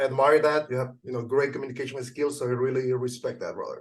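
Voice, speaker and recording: Speaking with a Venezuelan accent at a very fast pace, a man keeps a medium pitch and monotone, flat intonation. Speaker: junk removal business owner. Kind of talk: interview.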